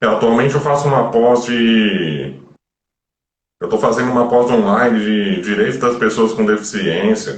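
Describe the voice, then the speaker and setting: Audible room echo surrounds a man speaking at a fairly slow pace, his intonation lively and his voice showing vocal fry. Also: medium pitch for a man. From Brazil, Florianópolis. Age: 30s. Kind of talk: live stream interview. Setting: online live stream.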